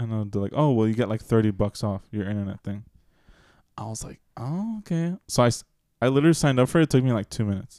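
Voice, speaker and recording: Delivered at a very fast pace, the voice has a dark, mellow tone and big swings in loudness, recorded dry and close with no echo on a very clean, silent background. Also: man, medium pitch for a man, ordinary pitch variation. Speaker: podcast co-host. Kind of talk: casual chat. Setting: at home with kids in background. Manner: talkative.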